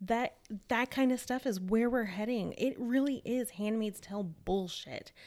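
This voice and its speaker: Her tone is animated, with ordinary pitch variation. The woman talks at a fairly slow pace in a fairly high voice. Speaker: podcast co-host. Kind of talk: casual chat.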